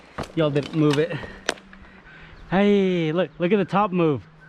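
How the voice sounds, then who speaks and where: Against noticeable background noise, a man with a high pitch speaks with fairly even intonation. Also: long, frequent pauses, very even loudness. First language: not English. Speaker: arborist and tree climber. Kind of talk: casual vlog commentary while working. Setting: outdoors, tree work site. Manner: casual, conversational.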